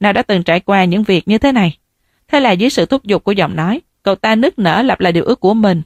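With lively intonation, a natural reading voice comes through over a quiet background.

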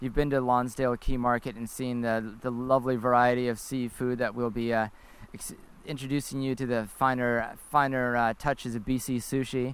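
A man's medium-pitched voice with a Canadian accent, monotone and flat, at a moderate pace. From Canada. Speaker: podcast host. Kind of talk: casual chat. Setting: outdoors.

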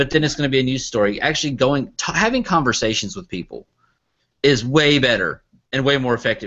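Using an ordinary speaking voice, a man with an American accent talks at a fairly quick pace and medium pitch with ordinary pitch variation. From US South, Arkansas. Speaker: online entertainment producer. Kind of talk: casual chat.

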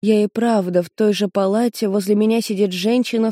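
The voice reads naturally. Its intonation is fairly even throughout.

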